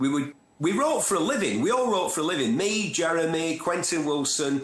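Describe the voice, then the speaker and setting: Speaking with a Manchester accent, a man keeps a moderate pace while his pitch swings very widely. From northern England, North Manchester. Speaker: motoring TV presenter and journalist. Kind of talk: interview. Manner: animated.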